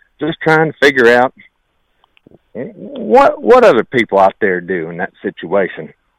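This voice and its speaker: This man, with an American accent, has a medium pitch with very wide pitch swings and vocal fry, talking at a fairly slow pace in a dry, close sound with no echo. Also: long, frequent pauses, big swings in loudness. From Ohio, US. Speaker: school teacher and state government worker, caller. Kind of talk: casual call-in message. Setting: phone call.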